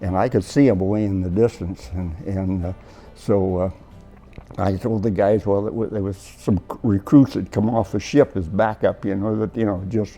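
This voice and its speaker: A man with an American accent, fairly low in pitch, at a moderate pace with fairly even intonation, music in the background. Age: 80s+. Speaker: war veteran. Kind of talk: interview answer.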